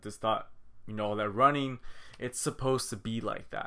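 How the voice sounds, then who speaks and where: On a very clean recording with a silent background, a man speaks in a normal speaking voice at medium pitch and a moderate pace, with ordinary pitch variation. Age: 20s. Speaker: vlogger, vegan athlete. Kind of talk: casual vlog monologue. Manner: casual, conversational with fillers.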